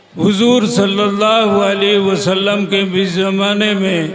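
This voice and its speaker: A man speaks very slowly in a high voice with a flat, monotone delivery, with audible room echo and noticeable background noise. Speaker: religious speaker. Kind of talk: religious speech.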